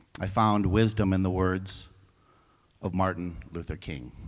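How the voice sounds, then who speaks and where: Recorded very cleanly against a silent background, a man talks at a fairly slow pace. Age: 60s. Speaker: church member giving a stewardship talk. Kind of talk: church talk. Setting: church service livestream.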